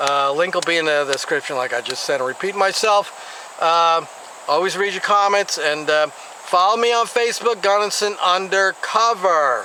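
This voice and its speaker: Amid noticeable background noise, a man with an American accent projects a raised, high-pitched voice at a moderate pace with lively intonation. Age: 60s. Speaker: YouTube commentator. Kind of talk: vlog commentary. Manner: casual, halting with fillers.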